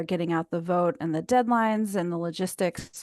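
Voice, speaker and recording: A woman speaks in a normal speaking voice at a fairly low pitch, with ordinary pitch variation. She keeps a moderate pace against a quiet background. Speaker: committee member presenting policy updates. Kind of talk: online meeting presentation.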